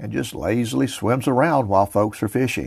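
A man with an American accent, fairly low pitch, vocal fry and a moderate pace. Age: 70s. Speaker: outdoors podcast host. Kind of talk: casual monologue.

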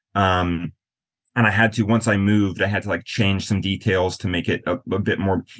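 Over a quiet background, a man with a plain, everyday voice talks at a moderate pace, his fairly low pitch following a fairly even intonation. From US Midwest, western South Dakota. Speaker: author. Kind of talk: interview.

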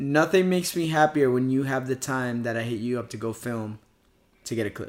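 A man with a normal speaking voice talks at a medium pitch and a fairly quick pace in a very clean recording with a silent background. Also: ordinary pitch variation. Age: 30s. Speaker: professional skateboarder. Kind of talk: casual chat.

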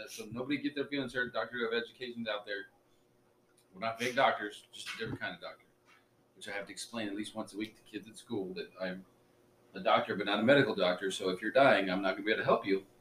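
Delivered at a very fast pace, the speech has fairly even intonation but big swings in loudness. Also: man, medium pitch for a man. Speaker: podcast co-host. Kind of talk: casual chat. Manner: serious, formal, careful word choice.

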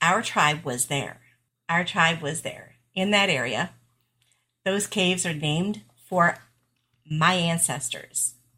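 With an American accent, this speaker talks at a very slow pace and takes long, frequent pauses. The tone is bright and sharp, with ordinary pitch variation. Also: woman, fairly low pitch for a woman. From central New York. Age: 40s. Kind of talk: interview, personal story.

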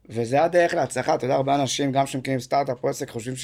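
A man talks at a very fast pace with a fairly high pitch and vocal fry. The recording is very clean, its background silent. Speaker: podcast host, fitness school owner. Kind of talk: casual interview chat.

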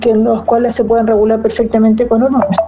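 Noticeable background noise accompanies a woman whose fairly high pitch holds fairly even intonation. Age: 40s. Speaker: amateur trail runner. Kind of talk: testimony.

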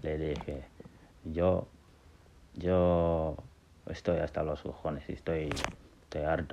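With very deep, low pitch, a man speaks in a monotone, flat way at a very slow pace, leaving long, frequent pauses. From Gambia and Senegal. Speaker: podcaster telling life story. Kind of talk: personal testimony. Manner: halting.

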